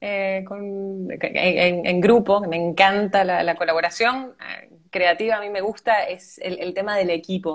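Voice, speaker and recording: A woman's medium-pitched voice at a fairly slow pace, with fairly even intonation and hardly any pauses. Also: big swings in loudness. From Venezuela, raised by Argentine parents. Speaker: actress. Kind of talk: interview. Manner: hesitant, many fillers.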